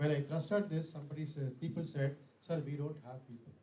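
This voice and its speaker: Somewhat breathy and fairly high-pitched, a man with an Indian accent speaks in a dark, mellow tone with fairly even intonation. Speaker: conference speaker. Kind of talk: lecture. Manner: fast.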